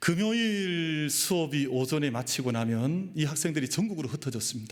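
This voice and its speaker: At a moderate pace, a man talks in a fairly high voice with lively intonation, and audible room echo surrounds him. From Daegu, Gyeongsang region, South Korea. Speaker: pastor. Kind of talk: sermon.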